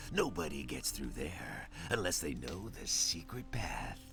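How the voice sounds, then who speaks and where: A man uses a put-on character voice, gruff and rumbling. He speaks at a moderate pace with clear background noise behind him. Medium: video game. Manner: gruff, grumbling, swears often.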